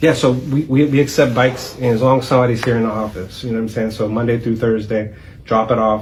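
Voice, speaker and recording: A man with an American accent talks very fast at a medium pitch, and the room echo is audible. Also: fairly even intonation. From Youngstown, Ohio (South Side). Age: 40s. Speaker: nonprofit founder and executive director. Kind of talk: interview.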